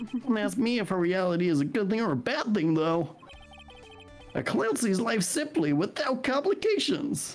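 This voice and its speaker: With clear music in the background, a man puts on a strained, high-pitched character voice at a moderate pace. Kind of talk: comic overacting. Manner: jokey, showman.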